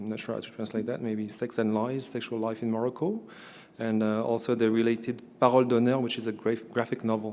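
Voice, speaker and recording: Monotone and flat in intonation, a man at medium pitch races along at a very fast pace. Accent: French. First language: French. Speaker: event presenter introducing a speaker. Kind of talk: formal introduction of a guest speaker. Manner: hesitant, many filler words.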